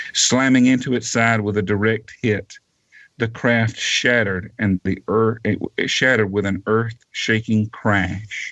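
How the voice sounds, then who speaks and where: In a Southern US accent, a man speaks at medium pitch and a fairly slow pace, with very even loudness and monotone, flat intonation. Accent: Southern drawl. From US South (Georgia). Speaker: author. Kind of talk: reading aloud; interview. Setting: radio show.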